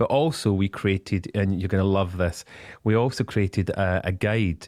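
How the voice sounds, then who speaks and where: In a very clean recording with a silent background and a dry, close sound with no echo, a man with a Scottish accent speaks at a moderate pace and fairly low pitch. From Scotland. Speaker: business spokesperson. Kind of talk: radio interview. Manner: animated; halting.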